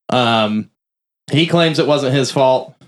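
A man with an unremarkable speaking voice and a fairly high pitch talks fairly slowly, his pitch varying in an ordinary way. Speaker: podcast host. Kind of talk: casual chat.

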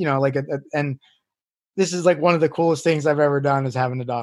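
Talking very fast, a man holds a fairly high pitch. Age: 40s. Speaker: mixed martial arts coach. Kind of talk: casual chat. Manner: halting; animated.

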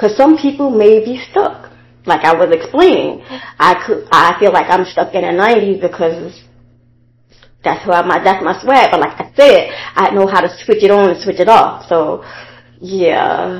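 A woman with an ordinary speaking voice talks at a medium pitch. Her pace is fairly slow and her intonation lively. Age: 40s. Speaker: affirmation video host. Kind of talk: casual daily affirmation monologue.

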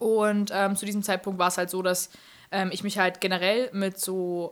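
A woman at medium pitch with a plain, everyday voice talks at a moderate pace. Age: 20s. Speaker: social media influencer. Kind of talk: casual chat. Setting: studio.

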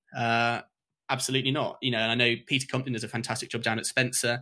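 At a very fast pace, a man with a medium-pitched, bright, sharp tone speaks with fairly even intonation over a quiet background. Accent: English. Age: 20s. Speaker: lacrosse coach. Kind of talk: casual chat.

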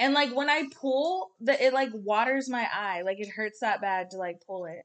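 A woman speaks in a high pitch at a fairly slow pace. Her pitch swings very widely. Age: 30s. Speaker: podcast co-host. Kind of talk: casual chat.

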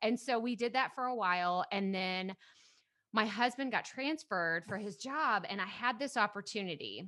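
In an East Texas accent, a woman talks at a moderate pace in a bright, sharp tone with fairly high pitch and ordinary pitch variation. The recording is very clean, with a silent background. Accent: East Texas Southern US. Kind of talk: casual interview chat. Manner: upbeat, energetic.

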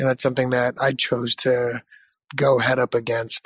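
An unremarkable speaking voice of a man with an American accent, medium in pitch and moderate in pace, the sound dry and close with no echo. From US. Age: 30s. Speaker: entrepreneur. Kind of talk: interview.

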